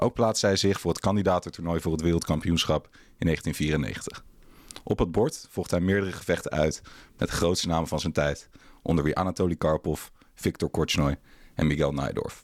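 At a moderate pace, a man with a very deep, low pitch and ordinary pitch variation speaks in a dry, close sound with no echo on a very clean recording with a silent background. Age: 20s. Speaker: podcast host. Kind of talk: interview.

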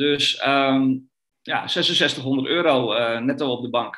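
Male voice with fairly even intonation. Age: 40s. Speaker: trader. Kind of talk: interview. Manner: halting, many fillers.

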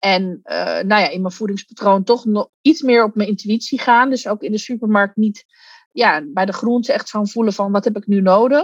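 At a moderate pace, a woman with a fairly high, somewhat breathy voice and ordinary pitch variation is heard in a dry, close recording with no echo. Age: 40s. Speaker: coach. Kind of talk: interview.

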